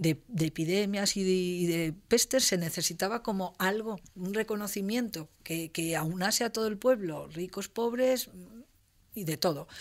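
Speaking at a fairly slow pace, a woman keeps a medium pitch that varies in an ordinary way. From Spain, Castellón (Valencian Community). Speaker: university professor. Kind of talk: interview. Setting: university studio. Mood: calm, explanatory. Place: studio. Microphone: studio mic.

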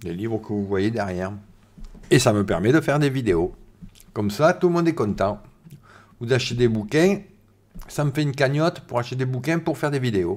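A man with a medium-pitched voice talks at a fairly quick pace yet leaves long, frequent pauses. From southern France, Var. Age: 50s. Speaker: science YouTuber. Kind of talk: live stream chat. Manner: casual, hesitant with many fillers. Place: home room. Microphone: studio mic.

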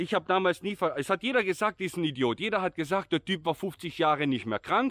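Over a quiet background, a man talks at a fairly quick pace with ordinary pitch variation in a dry sound with no echo. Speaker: vlogger. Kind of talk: casual vlog chat. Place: open country. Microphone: phone near.

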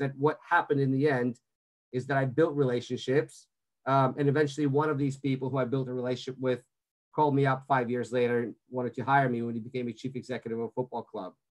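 Over a quiet background, a man rattles along at a very fast pace in a monotone, flat intonation. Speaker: sports media executive; webinar guest. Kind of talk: webinar presentation. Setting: video call. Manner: halting, many fillers. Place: home room. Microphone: video call.

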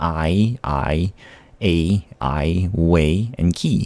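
A soft-spoken man with a very deep, low pitch, a calm tone and a dark, mellow sound. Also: dry sound with no echo. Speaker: vlogger / gaming YouTuber. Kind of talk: poetry reading, soothing read-out to help sleep. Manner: calm, soft, slow.

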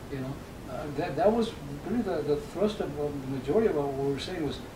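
A man with an American accent talks at a fairly quick pace, his pitch fairly high. Noticeable background noise sits behind him. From San Luis Valley, Colorado. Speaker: retired software engineer and musician. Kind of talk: oral history interview answer. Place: home room.

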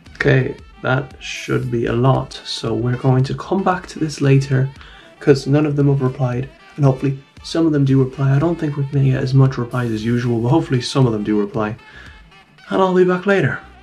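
Over faint music in the background, a man speaks at a fairly quick pace with ordinary pitch variation. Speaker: content creator. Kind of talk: casual commentary reading comments. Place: home room.

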